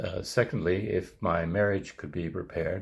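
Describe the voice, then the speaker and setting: In a very deep, low pitch, a man speaks somewhat breathily with ordinary pitch variation. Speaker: resident investor. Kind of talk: testimony. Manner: halting.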